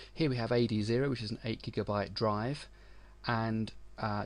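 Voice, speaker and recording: Against a quiet background, a man talks at a moderate pace with a British accent. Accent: UK. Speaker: tech author and webmaster. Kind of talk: tutorial.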